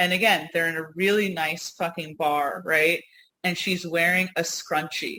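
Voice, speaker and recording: This woman has a fairly low voice with a bright, sharp tone. She sounds animated, and the recording is very clean with a silent background. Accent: US Northeast. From New York / US Northeast. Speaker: podcast co-host. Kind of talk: casual chat.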